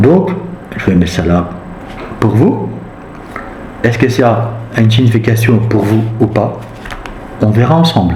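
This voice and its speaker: Music plays behind a man of medium pitch who talks at a fairly slow pace, leaving long, frequent pauses. His intonation is lively, his loudness very even, and the room echo is audible. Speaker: tarot reader. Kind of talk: tarot reading. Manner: halting.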